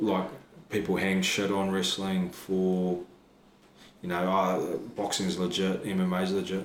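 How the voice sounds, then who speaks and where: With noticeable background noise and audible room echo, a man with a New Zealand accent speaks very slowly in a very deep, low pitch and monotone, flat intonation. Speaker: professional wrestler and trainer. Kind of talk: casual interview chat.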